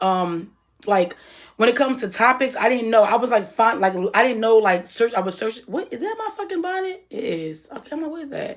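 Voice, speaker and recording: A woman's voice at a fairly quick pace, with very wide pitch swings. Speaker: YouTuber. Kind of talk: casual vlog monologue. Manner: loud; halting.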